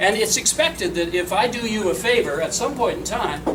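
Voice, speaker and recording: A man speaks loudly at a moderate pace, with audible room echo and noticeable background noise. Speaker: public speaker. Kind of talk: public talk.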